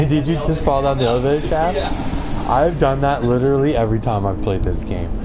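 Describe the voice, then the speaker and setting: Over noticeable background noise, a man talks very fast with hardly any pauses and ordinary pitch variation. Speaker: game streamer. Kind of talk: casual gaming commentary.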